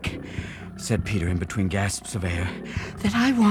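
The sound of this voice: An unforced reading voice is heard here.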